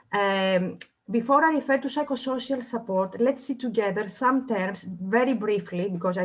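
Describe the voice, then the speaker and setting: At a moderate pace, a woman speaks with a fairly high pitch and ordinary pitch variation, her voice somewhat breathy. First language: not English. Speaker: social worker. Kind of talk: presentation. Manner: halting.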